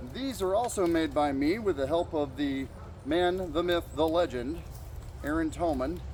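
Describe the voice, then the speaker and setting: An unremarkable speaking voice from a man, fairly high in pitch, with ordinary pitch variation, very even loudness and a moderate pace. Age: middle-aged. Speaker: historical armor reenactor. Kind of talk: demonstration talk. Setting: outdoors, backyard.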